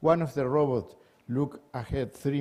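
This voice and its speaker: With a Spanish accent, a man speaks at medium pitch in a dark, mellow tone. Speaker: energy systems engineer. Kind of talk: conference talk. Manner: halting.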